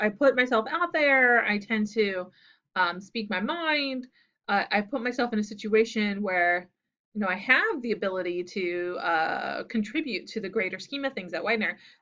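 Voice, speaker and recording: Soft-spoken and fairly slow, a woman talks at a fairly high pitch. Her intonation is lively. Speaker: university instructor. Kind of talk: recorded lecture video.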